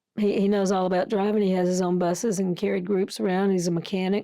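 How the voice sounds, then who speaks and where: A woman with an Alabama accent, her medium-pitched voice dark and mellow, on a very clean recording over a silent background. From US South, Tuscaloosa, Alabama. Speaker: missionary nurse. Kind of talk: interview, casual chat.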